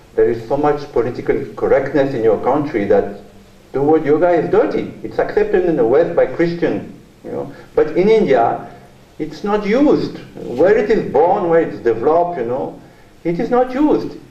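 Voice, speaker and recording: Recorded with audible room echo and noticeable background noise, a man with a French accent talks at a moderate pace. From France. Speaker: journalist and author, keynote speaker. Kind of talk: keynote lecture. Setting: university conference hall with audience.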